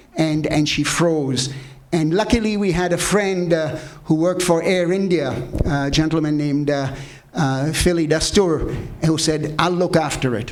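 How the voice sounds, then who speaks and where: A man with a fairly high pitch and ordinary pitch variation talks at a fairly slow pace, with noticeable background noise and audible room echo. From Tanzania, East Africa, then England from age 13. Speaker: entrepreneur, panel speaker. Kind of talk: panel talk, personal story. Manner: hesitant, many fillers and repetitions.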